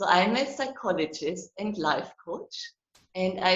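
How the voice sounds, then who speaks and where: Her pitch is fairly low, and this woman's voice varies in pitch in an ordinary way. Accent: German. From Germany. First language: German. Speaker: psychologist and relationship coach. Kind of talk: online interview.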